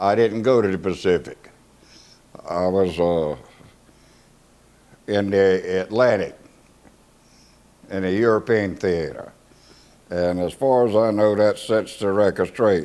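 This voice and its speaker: Long, frequent pauses break up a man's fairly slow speech. His voice is fairly low, dark and mellow, with ordinary pitch variation. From US South, coastal South Carolina (Hemingway, Charleston). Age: 80s+. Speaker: war veteran. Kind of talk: oral history interview. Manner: halting, with frequent fillers and repetitions.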